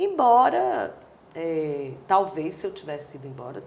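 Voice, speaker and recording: Amid noticeable background noise and audible room echo, a woman with a fairly low pitch speaks at a fairly slow pace with lively intonation. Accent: Cearense. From Brazil, Ceará (Fortaleza). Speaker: dancer and choreographer. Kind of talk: interview.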